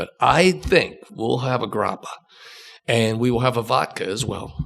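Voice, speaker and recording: With an American accent, a man speaks at a moderate pace in a medium pitch. His intonation is lively, and his voice carries vocal fry. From Ohio. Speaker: musician and producer, bourbon brand founder. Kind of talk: casual podcast interview.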